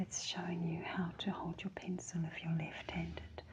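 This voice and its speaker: A woman with a New Zealand accent and vocal fry. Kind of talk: ASMR book reading. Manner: soft-spoken.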